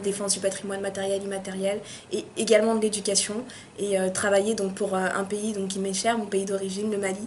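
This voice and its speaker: Against noticeable background noise and audible room echo, a woman speaks at a medium pitch. Her delivery is fairly quick, with flat, monotone intonation. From France, Paris suburbs, Malian heritage. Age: 20s. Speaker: university student. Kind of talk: interview. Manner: hesitant, many fillers.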